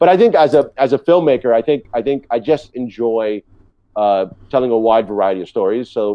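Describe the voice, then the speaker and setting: The pace is fairly quick, with ordinary pitch variation. The background is quiet and the sound is dry, with no echo. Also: man. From New York City. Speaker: TV director; TV guest. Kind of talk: interview. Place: home room. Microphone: video call.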